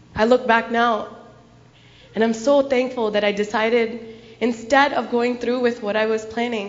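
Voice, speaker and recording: A woman with an American accent speaks at a moderate pace in a fairly high, monotone, flat voice. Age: young. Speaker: speaker sharing personal story at gurdwara. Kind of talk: testimony. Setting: gurdwara gathering with audience.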